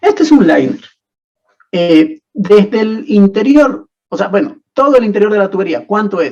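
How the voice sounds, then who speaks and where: A man's voice with very wide pitch swings. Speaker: teaching assistant. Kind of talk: online tutorial class.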